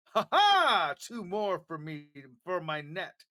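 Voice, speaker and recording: In a put-on character voice, the speaker uses a middle pitch and a raised, projected delivery at a fairly slow pace. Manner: cheerful.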